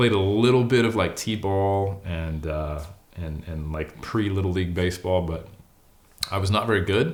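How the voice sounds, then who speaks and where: With an American accent, a man speaks in a very deep, low pitch. Audible room echo surrounds his voice. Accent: a bit of an accent, noted by host. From US West Coast, California (Oakland, Sacramento). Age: 40s. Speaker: bodybuilder and academic. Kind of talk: interview.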